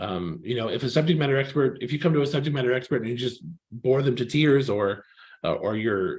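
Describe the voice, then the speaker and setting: Speaking at a very fast pace, a man with a Californian accent sounds somewhat breathy, his medium pitch showing ordinary variation. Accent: California. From California, US. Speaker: technical writer, workshop mentor. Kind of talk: online presentation. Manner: hesitant, many fillers.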